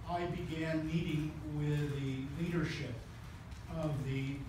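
A man's monotone, flat delivery in strong room echo, with noticeable background noise. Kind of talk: press conference statement. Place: meeting room. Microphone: camera far.

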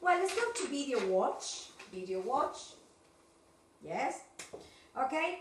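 A woman's high voice with very wide pitch swings, very slow and broken by long, frequent pauses, amid audible room echo and light background noise. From Argentina. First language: Spanish. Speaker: English teacher. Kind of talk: online class. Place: classroom. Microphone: camera far.

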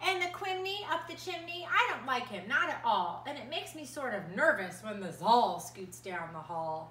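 Speaking at a moderate pace with hardly any pauses, this voice swings very widely in pitch over audible room echo. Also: woman, high pitch for a woman. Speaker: preschool art teacher. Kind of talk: children's story time, reading a picture book aloud to preschoolers. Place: home room. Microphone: phone near.

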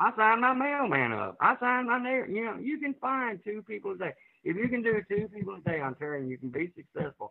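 Talking at a fairly quick pace, a man uses a high pitch with very wide pitch swings. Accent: Arkansas. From Arkansas, US South. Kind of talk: testimony.

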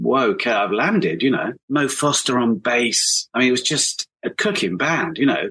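A man in a southern English accent, medium-pitched with a bright, sharp tone and vocal fry, lively intonation at a moderate pace, hardly any pauses, very even loudness, dry close sound with no echo. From southern England, Hampshire. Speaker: brass musician and arranger. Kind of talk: casual chat.

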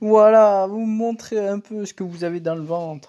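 At a fairly slow pace, the voice comes through on a very clean recording with a silent background. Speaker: gaming YouTuber. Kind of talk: angry gaming rant over live gameplay, venting and swearing at the game. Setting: home recording at computer, drill noise in background. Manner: exasperated, shouting, swearing, sharp outbursts.

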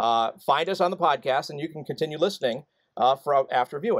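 A man with a fairly high voice speaks at a fairly quick pace in an upbeat tone with lively intonation against a quiet background. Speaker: co-host. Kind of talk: casual chat. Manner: upbeat, jokey, laughs often. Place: home room. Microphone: studio mic.

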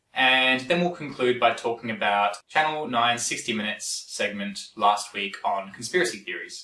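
There is audible room echo over a quiet background. A man speaks at a moderate pace. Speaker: science commentator. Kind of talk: explainer commentary.

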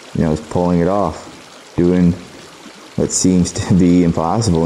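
Noticeable background noise sits behind a man speaking at a very deep, low pitch. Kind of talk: reflective documentary narration.

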